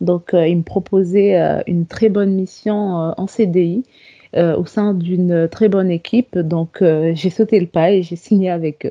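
A woman speaks at a very slow pace. Her pitch is fairly low and her intonation fairly even. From Comoros. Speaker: software developer. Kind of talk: interview. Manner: hesitant, many fillers.

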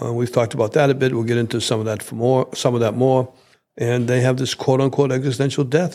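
On a very clean recording with a silent background, a man speaks at a medium pitch with fairly even intonation, in an unremarkable speaking voice. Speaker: co-host, doctor and decision coach. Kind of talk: casual conversational podcast.

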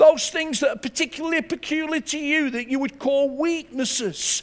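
A man with an English accent talks at a moderate pace. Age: 60s. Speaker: pastor. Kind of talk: sermon. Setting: church.

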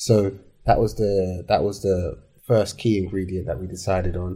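In a London accent, a man speaks with a somewhat breathy, dark, mellow tone and monotone, flat intonation over a very clean recording with a silent background. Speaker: entrepreneur, hair care brand founder. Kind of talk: casual interview chat. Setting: studio.

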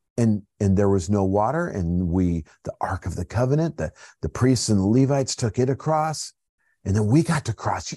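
A man with a General American accent, a dark, mellow tone and very wide pitch swings, at a moderate pace against a quiet background. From Colorado, US. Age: 50s. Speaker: pastor. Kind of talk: bible study talk. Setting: home office, livestream. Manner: casual, halting with fillers.

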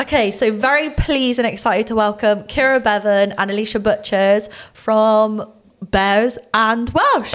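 A woman with a strong Bristolian accent talks at a fairly slow pace in a fairly high pitch, with noticeable background noise. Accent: thick Bristolian. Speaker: women's rugby player and podcast co-host. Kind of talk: casual podcast chat.

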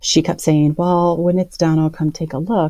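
The voice has a dark, mellow tone and a Midwestern American accent. Its intonation is fairly even. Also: woman. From Iowa, US Midwest. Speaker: artist and advocate. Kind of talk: interview conversation.

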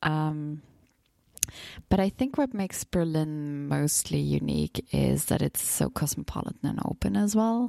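With a German accent, a woman talks at a fairly slow pace and very even loudness, in a dry, close sound with no echo. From Bavaria, Germany. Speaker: travel podcast guest. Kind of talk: casual interview.

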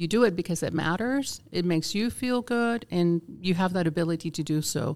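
A woman with a Spanish accent speaks at a moderate pace with hardly any pauses and lively intonation. Her pitch is fairly low, and the recording is very clean with a silent background. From Puerto Rico (Vieques). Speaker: magazine publisher. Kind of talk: casual interview.

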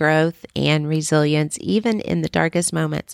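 Recorded very cleanly against a silent background, a woman with a very deep, low pitch talks at a moderate pace. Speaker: podcast host and writer. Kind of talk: solo podcast Q&A, casual chat. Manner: friendly, conversational.

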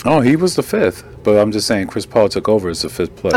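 Over noticeable background noise, a man speaks at a very fast pace. His pitch is fairly low and his intonation lively. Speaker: podcast host.

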